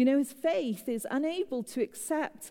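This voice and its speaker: A woman with a British accent, dark, mellow tone, lively intonation, and fairly slow pace. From Britain. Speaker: pastor. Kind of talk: sermon. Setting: church with congregation.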